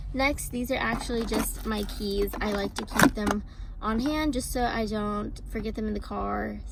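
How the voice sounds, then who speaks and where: A woman speaks at a moderate speed. Noticeable background noise accompanies her. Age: young. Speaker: lifestyle vlogger. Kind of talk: casual talk to camera.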